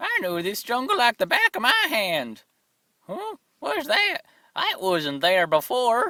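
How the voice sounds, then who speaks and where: This cartoonish character voice goes at a fairly slow pace, recorded dry and close with no echo. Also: man, extremely high pitch for a man. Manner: rambling, folksy.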